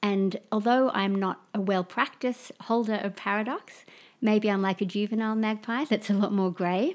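A woman with an Australian accent speaks at a medium pitch and a moderate pace, with fairly even intonation, in a very clean recording with a silent background. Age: 40s. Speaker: permaculture practitioner and artist. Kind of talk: casual chat.

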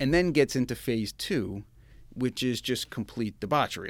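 A man's voice with vocal fry and an American accent. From Long Island, New York. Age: 40s. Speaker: finance executive. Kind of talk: interview testimony.

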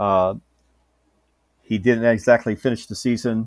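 A medium-pitched man with an American accent at a moderate pace, in a very clean recording with a silent background and a dry, close sound with no echo. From Houston, Texas. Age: 60s. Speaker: former basketball coach and teacher. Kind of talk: casual sports podcast chat. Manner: halting, many fillers.

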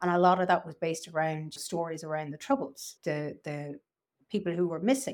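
On a very clean recording with a silent background, a woman with an Irish accent speaks at a fairly quick pace, fairly low in pitch, with ordinary pitch variation. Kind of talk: casual chat.

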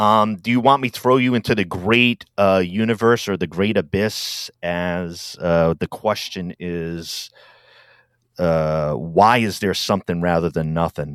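A man with a very deep, low pitch speaks in an American accent at a fairly slow pace. The sound is dry and close with no echo, on a very clean recording with a silent background. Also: ordinary pitch variation. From Rhode Island, US. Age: 50s. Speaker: podcast host. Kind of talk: casual interview conversation.

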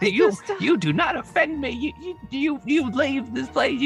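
A high, put-on character voice at a very slow pace, with clear music in the background. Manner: offended, dismissive.

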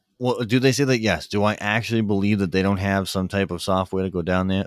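An unremarkable speaking voice, this man's pitch sits fairly low and his intonation stays fairly even, in a dry, close sound with no echo and a very clean recording over a silent background. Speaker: podcast host. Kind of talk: casual chat.

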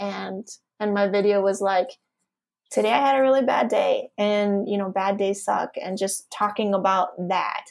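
A woman speaks at a moderate pace in a plain, everyday voice. Her pitch sits in the medium range. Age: 40s. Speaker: wellbeing and productivity coach. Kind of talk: casual chat.

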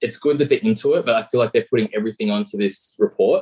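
Here is a man with an Australian accent. The sound is dry and close, with no echo. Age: 30s. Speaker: caller.

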